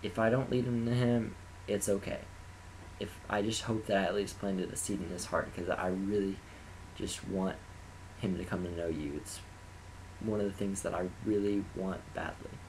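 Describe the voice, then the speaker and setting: A man with a fairly low pitch speaks at a moderate pace, his somewhat breathy voice keeping a fairly even intonation. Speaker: college band applicant. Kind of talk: personal testimony to camera. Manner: hesitant, occasional stutters.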